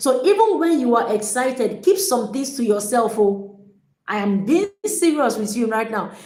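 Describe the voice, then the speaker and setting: A woman with a high pitch and a dark, mellow tone speaks at a moderate pace. Her pitch swings very widely, and there is audible room echo. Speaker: relationship coach. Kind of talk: livestream talk. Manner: energetic.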